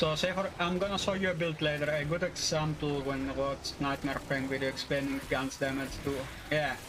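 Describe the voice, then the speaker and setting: With noticeable background noise behind him, a man at a fairly high pitch talks at a fairly quick pace with very even loudness. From Greece. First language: Greek. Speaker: video game streamer. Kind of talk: live gameplay stream, casual chat with viewers. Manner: halting, many fillers.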